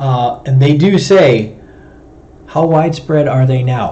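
A man with an American accent talks at a fairly high pitch with ordinary pitch variation. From US Midwest, Chicago. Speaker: wildlife control operator and streamer. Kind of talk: live stream talk. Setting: home livestream with webcam microphone. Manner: fast talker.

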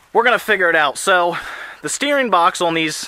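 A man's voice, bright and sharp in tone. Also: dry sound with no echo. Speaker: tractor hobbyist. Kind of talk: casual vlog chat. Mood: enthusiastic, planning. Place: forest. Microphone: phone near.

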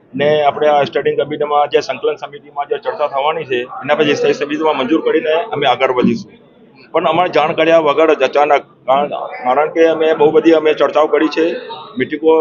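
The man's voice is fairly high in pitch. Noticeable background noise can be heard. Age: 60s. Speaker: shopkeeper. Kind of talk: news interview statement.

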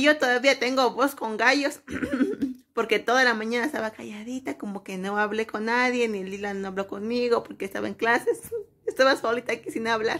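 A woman talks with ordinary pitch variation, keeping a moderate pace. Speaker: mother vlogger. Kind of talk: casual vlog chat. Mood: relaxed, playful. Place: home room. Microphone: phone near.

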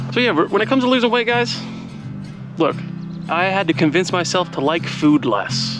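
The recording sounds dry with no echo, and clear music can be heard behind it. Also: man. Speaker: hiking vlogger. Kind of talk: casual vlog chat. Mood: relaxed, joking. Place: open country. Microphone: phone near.

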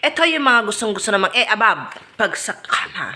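Noticeable background noise surrounds a woman's raised, projected voice. Her intonation is lively. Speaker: vlogger. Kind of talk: scripted casual monologue. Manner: animated.

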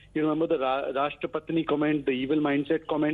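Against a quiet background, a man rattles along at a very fast pace in a monotone, flat intonation. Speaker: political party spokesperson. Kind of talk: interview answer. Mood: indignant, critical. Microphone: phone line.

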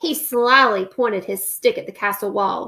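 Bright and sharp in tone with a slightly husky edge, a woman speaks at medium pitch and a fairly slow pace, with ordinary pitch variation.

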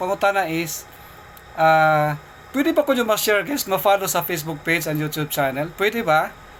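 Background noise is clearly present. The delivery moves fairly quickly. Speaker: lottery prediction vlogger. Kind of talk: casual vlog Q&A. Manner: casual, laughs often.

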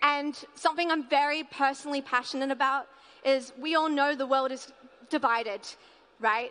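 A woman uses a raised, projected voice at a moderate pace with ordinary pitch variation. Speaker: music artist and producer. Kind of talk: conference talk with slides. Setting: stage with audience.

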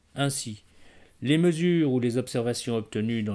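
With a Parisian accent, a man speaks at a medium pitch. His pitch swings very widely, and the recording is very clean with a silent background. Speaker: statistics teacher. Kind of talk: educational tutorial narration.

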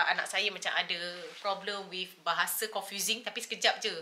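A woman of medium pitch speaks at a fairly quick pace. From Malaysia. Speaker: YouTuber. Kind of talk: casual chat. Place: home room. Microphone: camera far.

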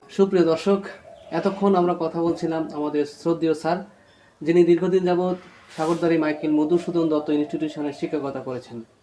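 His pitch is high for a man, and the intonation stays fairly even. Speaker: video channel host. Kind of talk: formal presentation to viewers; interview. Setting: guest's home. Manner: formal.

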